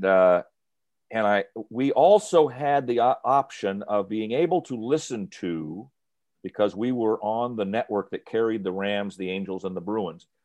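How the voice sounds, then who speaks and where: Against a quiet background, a man with a fairly low pitch talks at a moderate pace in a normal speaking voice. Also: ordinary pitch variation. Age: 60s. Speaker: sports radio announcer. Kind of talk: interview.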